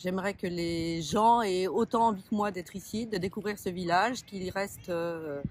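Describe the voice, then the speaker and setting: Using an unremarkable speaking voice, a woman talks at a fairly slow pace and medium pitch with ordinary pitch variation. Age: 60s. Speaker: shopkeeper and municipal election candidate. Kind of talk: interview. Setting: outdoors by a pond, sunny.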